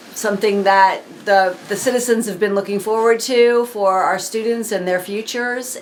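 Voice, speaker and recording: Over noticeable background noise, a woman talks at a moderate pace, fairly high in pitch with fairly even intonation. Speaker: school board member interviewer. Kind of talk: oral history interview questions.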